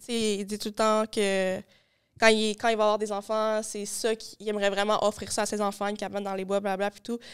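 Against a quiet background, a woman speaks at a fairly quick pace with monotone, flat intonation. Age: young. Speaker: podcast host; podcast guest. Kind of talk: casual chat. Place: studio. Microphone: studio mic.

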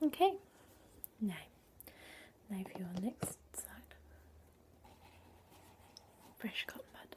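A woman whispering at a very slow pace in a gentle tone, with big swings in loudness. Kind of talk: soft-spoken role-play talk to the viewer. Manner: soft, gentle ASMR speaking voice. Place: home room. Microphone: webcam.

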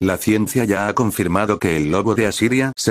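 A man with a normal speaking voice, fairly low pitch, ordinary pitch variation and a moderate pace. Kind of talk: ghost story telling, scripted creepypasta narration. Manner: grave, ominous, even-paced delivery of a dated timeline of disappearances.

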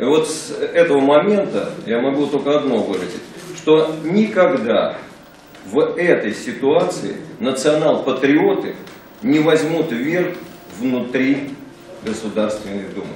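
A man speaks at a very slow pace with long, frequent pauses and lively intonation. Light background noise and audible room echo are present. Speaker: moderator; panelist. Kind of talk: panel debate. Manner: hesitant, filler sounds. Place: meeting room. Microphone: podium.

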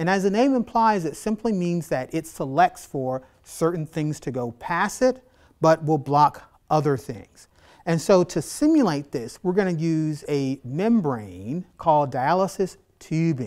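A man talks fairly slowly, and the background is quiet. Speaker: biology instructor. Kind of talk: tutorial. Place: classroom. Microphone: lapel.

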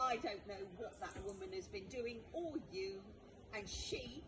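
Over loud background noise, a woman speaks at a very slow pace with lively intonation. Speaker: car owner filming incident. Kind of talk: argument at roadside. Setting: outdoors. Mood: upset, accusing. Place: street. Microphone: phone near.

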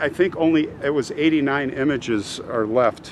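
At a very slow pace, a man speaks over light background noise in a dry sound with no echo. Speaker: travel vlogger. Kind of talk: casual vlog commentary. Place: open country. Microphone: phone near.

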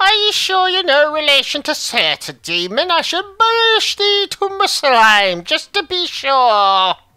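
This put-on character voice sits high in pitch and swings very widely up and down. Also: fairly slow pace. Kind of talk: archaic, theatrical. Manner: grandiose, theatrical.

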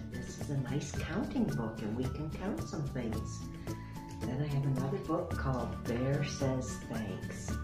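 Loud music plays in the background while a woman speaks at a fairly slow pace. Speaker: grandmotherly children's story reader. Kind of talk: children's story reading, welcoming introduction to camera. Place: home room. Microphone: webcam.

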